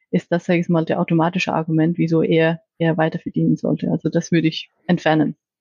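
A somewhat breathy woman talks at a fairly quick pace and a fairly low pitch. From Iceland. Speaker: corporate business strategy manager. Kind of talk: interview. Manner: halting, with fillers and repetitions.

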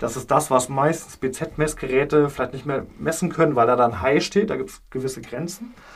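With hardly any pauses, a man talks at a moderate pace and a fairly high pitch, somewhat breathy, with ordinary pitch variation and big swings in loudness. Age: 30s. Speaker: paramedic. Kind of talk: educational interview.

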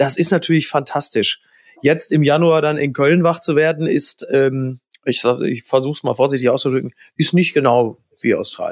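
At a moderate pace, a man talks in a plain, everyday voice with fairly even intonation. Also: fairly high pitch for a man. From Ruhr area, Germany (Recklinghausen). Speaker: journalist and TV host. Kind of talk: casual chat.

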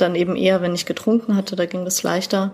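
A woman speaks at a medium pitch with monotone, flat intonation. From Bavaria, Germany. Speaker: poetry slammer. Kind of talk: podcast interview. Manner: talkative.

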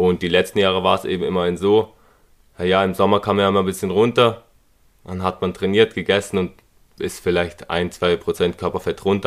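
A man speaks at a very deep, low pitch and a fairly quick pace. His intonation is monotone and flat. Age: 20s. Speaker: fitness influencer. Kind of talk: casual chat.

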